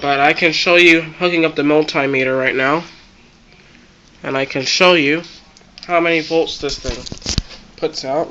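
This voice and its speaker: The pace is moderate, with long, frequent pauses. Noticeable background noise runs underneath. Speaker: electronics hobbyist. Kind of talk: tutorial.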